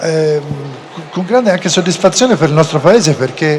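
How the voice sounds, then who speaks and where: A man's fairly high-pitched voice with a Florentine accent over noticeable background noise. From Florence, Tuscany. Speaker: panel moderator. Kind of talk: panel discussion moderation.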